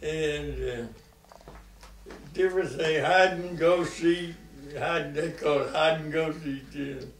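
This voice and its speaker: Noticeable background noise surrounds a man with a fairly high pitch who speaks at a very slow pace. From Western North Carolina. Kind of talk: interview answer.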